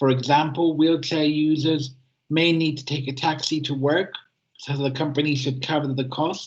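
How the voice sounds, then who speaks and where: A man with a fairly high pitch speaks in a somewhat breathy, monotone, flat delivery. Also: moderate pace. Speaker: easy-to-read editor, self-advocate. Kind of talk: prepared talk at a webinar. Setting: online webinar.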